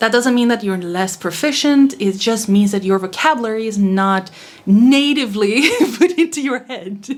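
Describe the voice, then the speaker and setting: With a non-native accent, a woman speaks at a fairly high pitch with lively intonation. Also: moderate pace. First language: not English. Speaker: author. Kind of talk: casual talk to camera.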